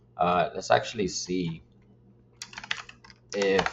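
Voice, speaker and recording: Noticeable noise fills the background while a man talks very slowly. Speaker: solo content creator building a website. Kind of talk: casual vlog, screen-share work session. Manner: casual, filler-heavy.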